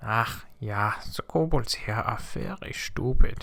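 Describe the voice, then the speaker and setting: Putting on a character voice, the man speaks at a medium pitch and a fairly slow pace. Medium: audio drama. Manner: muttered.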